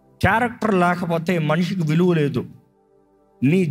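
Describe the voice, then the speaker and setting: A man speaking with music in the background. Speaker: pastor, preacher. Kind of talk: sermon, church preaching. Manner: emphatic, exhortative, mixing English words.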